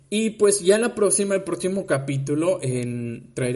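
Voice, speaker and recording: In a Yucatecan accent, a man talks at a fairly slow pace. His intonation is lively. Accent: Yucatecan Mexican Spanish. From Mexico, Yucatán (Mérida). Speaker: podcast host, university student. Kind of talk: casual podcast monologue. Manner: halting, many fillers.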